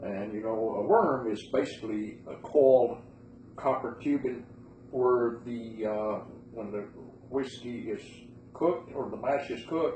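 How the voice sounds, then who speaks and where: With an American accent, a man speaks fairly slowly at a medium pitch with fairly even intonation, long and frequent pauses, and audible room echo. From western North Carolina, Bryson City. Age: 70s. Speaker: interviewee recalling moonshining. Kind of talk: oral history interview.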